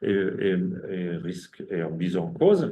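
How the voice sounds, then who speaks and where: A man's dark, mellow voice with audible room echo. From Germany. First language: German (speaking French). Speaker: ecologist and researcher. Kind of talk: academic seminar talk. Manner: halting, many hesitations and repetitions.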